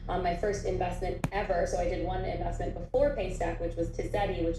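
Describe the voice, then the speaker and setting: A woman speaks fairly quickly with an American accent. Noticeable background noise runs under her voice. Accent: very American. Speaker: venture capital investor. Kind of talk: mentorship talk.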